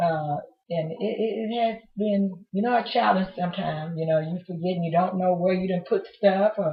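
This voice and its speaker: Here a woman speaks with an unremarkable speaking voice and ordinary pitch variation. Her pace is moderate. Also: medium pitch for a woman. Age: 60s. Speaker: retiree being interviewed. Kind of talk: interview.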